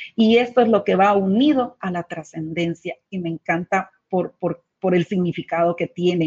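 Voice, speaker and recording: Somewhat breathy and medium in pitch, a woman speaks at a fairly slow pace with ordinary pitch variation and hardly any pauses. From Guatemala. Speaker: leadership coach and co-host. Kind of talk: live webcast talk.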